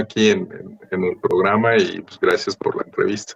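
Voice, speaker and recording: Moderate-paced speech from a man in a dry, close sound with no echo. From Mexico City area (Estado de México suburbs). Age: 40s. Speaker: film and TV post-producer. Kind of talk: interview. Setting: at his workplace, remote interview.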